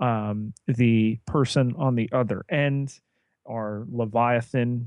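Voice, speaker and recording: A very slow pace with fairly even intonation and a slight New Jersey accent over a quiet background. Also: man. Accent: New Jersey American, slight. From New Jersey, US. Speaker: podcast co-host. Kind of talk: casual podcast discussion. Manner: halting, many fillers.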